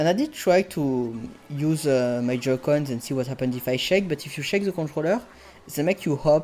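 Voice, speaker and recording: Music plays in the background as the speaker goes along at a moderate pace. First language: not English. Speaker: video game streamer. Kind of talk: live gameplay commentary. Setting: live stream. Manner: hesitant, self-correcting.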